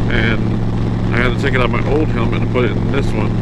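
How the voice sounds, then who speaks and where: Fairly quick speech comes through loud background noise in a dry sound with no echo. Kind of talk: casual vlog chat. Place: motorbike. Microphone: helmet.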